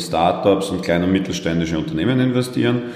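Amid noticeable background noise and audible room echo, a man with a very deep, low pitch speaks with lively intonation. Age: 30s. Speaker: fintech company co-founder. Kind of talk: interview.

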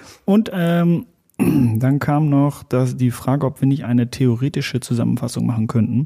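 A man speaks at medium pitch and a moderate pace, his tone dark and mellow and his loudness very even. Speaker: sales podcast co-host. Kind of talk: casual chat. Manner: monotone. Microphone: very close to the mic.

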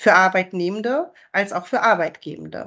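This woman has a plain, everyday voice. She talks at a fairly slow pace with ordinary pitch variation. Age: 40s. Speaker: sales manager. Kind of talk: interview.

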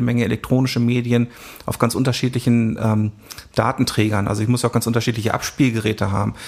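Monotone, flat intonation in a man's voice of medium pitch. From northern Germany, Hanover region (Isernhagen). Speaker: football club archivist and historian. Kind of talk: interview. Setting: club archive room.

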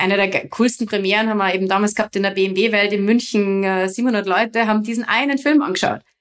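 A woman at a medium pitch talks at a fairly quick pace with hardly any pauses and fairly even intonation. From Austria, Salzburg region (Gastein). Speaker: freeride skier and film producer. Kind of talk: interview, casual chat. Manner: hesitant, many filler sounds.

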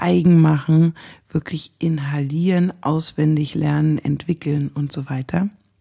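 Speaking at a very slow pace, a woman with a very deep, low pitch and a dark, mellow tone uses ordinary pitch variation. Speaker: lawyer. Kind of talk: casual chat.

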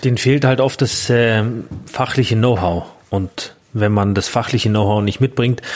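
At a fairly slow pace, a man speaks in an ordinary speaking voice with medium pitch, fairly even intonation and very even loudness. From Bavaria, Grünwald near Munich. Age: 30s. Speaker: innkeeper. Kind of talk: casual interview. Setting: in a restaurant.

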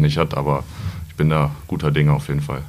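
Talking at a very fast pace, a man is heard with audible room echo. Noticeable background noise runs under his voice. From Lower Saxony, Germany (Peine). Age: 20s. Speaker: wholesale trade apprentice. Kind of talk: podcast interview.

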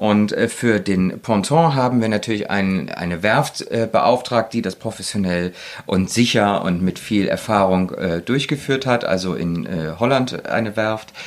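A man at a fairly low pitch and fairly slow pace, with ordinary pitch variation. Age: 40s. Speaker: interior design engineer. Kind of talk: casual interview. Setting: on a houseboat. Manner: hesitant, many fillers.

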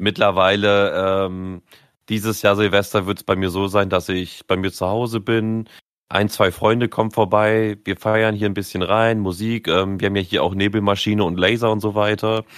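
A man with a fairly low voice talks in a monotone, flat intonation, keeping a moderate pace. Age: 20s. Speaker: podcast co-host. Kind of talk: casual chat.

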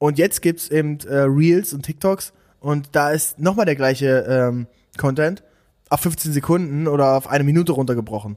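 Moderate pace and ordinary pitch variation in an ordinary speaking voice. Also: man, fairly high pitch for a man. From eastern Germany, Saxony-Anhalt near Dessau. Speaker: content creator and agency founder. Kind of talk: podcast interview.

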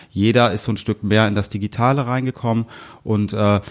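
Here is a man with a plain, everyday voice and a fairly low pitch. He talks at a fairly quick pace with fairly even intonation. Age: 40s. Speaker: media sales manager. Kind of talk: casual interview.

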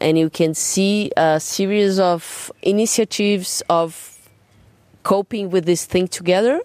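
In a dry, close sound with no echo, a woman with a Portuguese accent speaks at a medium pitch with fairly even intonation. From Brazil, São Paulo. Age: 30s. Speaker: jazz drummer and singer. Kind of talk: interview. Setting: garden at home. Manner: halting, repeats words.

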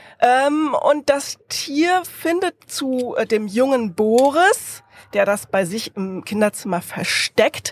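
A woman talks very slowly, her pitch swinging very widely. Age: 30s. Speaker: comic author and illustrator. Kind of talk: interview. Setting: podcast bus at book fair.

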